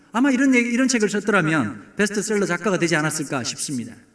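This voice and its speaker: A man speaks at a high pitch, his voice swinging very widely up and down. Room echo can be heard around him. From South Korea, Busan. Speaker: pastor. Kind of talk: sermon. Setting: church, early morning service.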